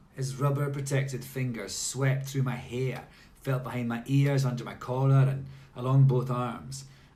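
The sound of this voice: The clip features an unforced reading voice. It is heard throughout.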